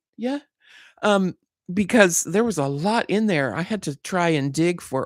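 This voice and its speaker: A woman with a fairly low pitch speaks with an American accent and very wide pitch swings. The recording is very clean and dry, close with no echo, over a silent background. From Southern California. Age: 60s. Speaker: YouTuber hosting Bible study and chats. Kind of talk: casual livestream chat. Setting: live stream.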